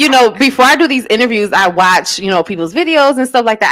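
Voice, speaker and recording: It is an ordinary speaking voice. The intonation is lively and the pace fairly quick. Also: woman. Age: 30s. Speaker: radio show host. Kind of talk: casual interview chat.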